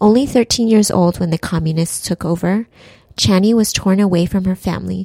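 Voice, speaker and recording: A woman's fairly low, dark, mellow voice with ordinary pitch variation, dry and close with no echo. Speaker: podcast narrator. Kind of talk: scripted narration.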